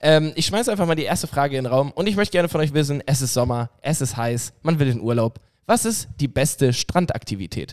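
Speaking at a very fast pace, a man with a fairly high pitch uses lively intonation. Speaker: podcast co-host. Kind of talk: casual chat.

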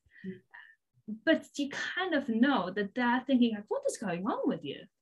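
Her pitch is high and swings very widely. The woman talks at a fairly quick pace. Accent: Polish. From Poland. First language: Polish. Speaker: binge eating coach. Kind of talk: interview.

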